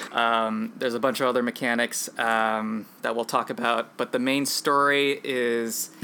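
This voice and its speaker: A man at a medium pitch, flat and monotone, at a fairly slow pace over noticeable background noise. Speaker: podcast host. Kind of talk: casual chat.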